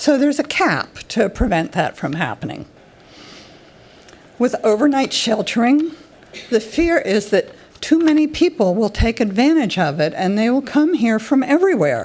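At a moderate pace, a woman speaks with a high pitch that swings very widely, with noticeable background noise behind her. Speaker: public commenter. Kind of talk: public comment at a planning meeting.

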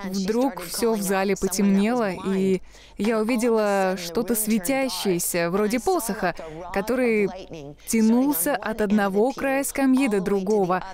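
A woman of medium pitch speaks at a very slow pace. Her loudness is very even, and her pitch varies in an ordinary way. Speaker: minister and evangelist. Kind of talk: testimony. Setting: studio.

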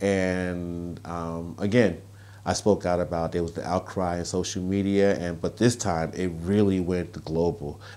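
In a very deep, low voice with a dark, mellow tone, a man speaks with monotone, flat intonation. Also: fairly slow pace. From US Northeast, Brooklyn, New York. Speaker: author and activist. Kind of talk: interview. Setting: outdoors. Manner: halting. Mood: earnest, measured. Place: home room. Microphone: lapel.

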